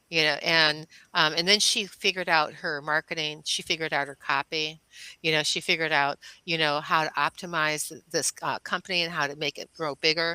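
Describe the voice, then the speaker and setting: A woman's very deep, low voice, bright and sharp in tone, flat and monotone, at a fairly quick pace, with big jumps in loudness, dry and close with no echo, on a very clean, silent recording. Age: 70s. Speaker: intuitive healer. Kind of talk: casual interview chat. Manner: halting, many fillers and restarts.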